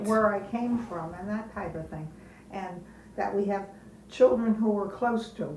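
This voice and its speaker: The speaker goes at a moderate pace with ordinary pitch variation and big swings in loudness. Noticeable background noise runs underneath. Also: woman, medium pitch for a woman. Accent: American. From Wilkes-Barre, Pennsylvania. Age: 80s. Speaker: retired schoolteacher. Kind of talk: interview answer.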